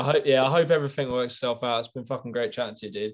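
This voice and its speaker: The man talks at a very fast pace and a medium pitch. His intonation is fairly even, and the background is quiet. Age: 20s. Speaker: youtuber interviewer. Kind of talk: casual interview. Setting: video call.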